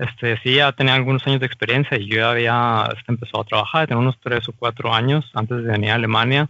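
At a fairly quick pace, a man talks in an unremarkable speaking voice of medium pitch. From Mexico. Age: 30s. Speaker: mechanical designer working in Germany. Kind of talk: casual interview.

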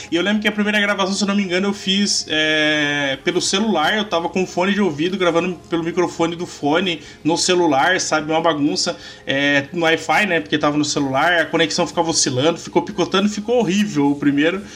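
Against noticeable background noise, a man with a high pitch and ordinary pitch variation talks at a fairly quick pace with hardly any pauses. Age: 30s. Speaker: podcaster and card game content creator. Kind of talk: casual chat.

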